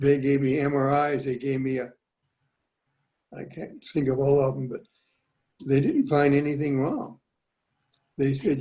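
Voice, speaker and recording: Speaking at a moderate pace, a man with a fairly high pitch has a somewhat breathy voice and a dark, mellow tone. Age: 80s+. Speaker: product testimonial giver. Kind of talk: testimony.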